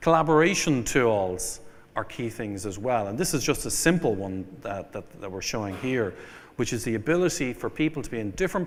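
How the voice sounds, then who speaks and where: This man has an Irish accent and a medium pitch. His intonation is lively and his pace fairly quick. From Ireland. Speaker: venture capital investor. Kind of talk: keynote speech. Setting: conference stage with audience.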